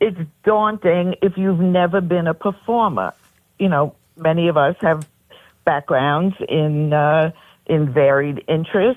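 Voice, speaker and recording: Speaking with a Brooklyn accent, a woman talks at a fairly slow pace. Her pitch is fairly low, with ordinary variation. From New York, Brooklyn. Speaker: pageant director. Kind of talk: radio interview.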